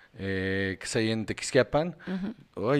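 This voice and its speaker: This very clean recording has a silent background. A man speaks with a Mexican accent and lively intonation. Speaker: podcast co-host. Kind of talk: casual chat. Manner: animated.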